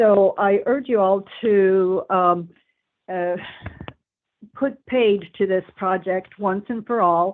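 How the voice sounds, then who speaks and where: A very slow delivery with long, frequent pauses and fairly even intonation. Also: woman, medium pitch for a woman. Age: 70s. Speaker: public commenter. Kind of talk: public hearing testimony.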